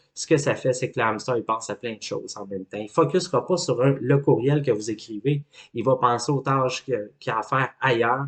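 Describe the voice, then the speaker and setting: A man's medium-pitched voice with a Quebec accent. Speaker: life coach. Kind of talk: educational talk.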